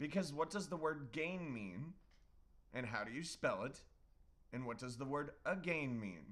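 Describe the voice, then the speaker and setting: A man's fairly high voice in a Californian accent, with lively intonation, vocal fry and long, frequent pauses. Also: fairly slow pace. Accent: California. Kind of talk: casual chat.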